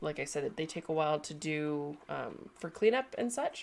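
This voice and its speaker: A woman with a Canadian accent speaks at a moderate pace with a very deep, low pitch and a nasal sound. Her intonation is lively. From Canada. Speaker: sculptor and livestream host. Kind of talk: casual livestream chat. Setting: home studio livestream.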